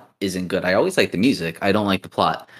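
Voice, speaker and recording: A man is speaking. He has an unremarkable speaking voice. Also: very clean recording, silent background. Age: 20s. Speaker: podcast co-host. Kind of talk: casual chat.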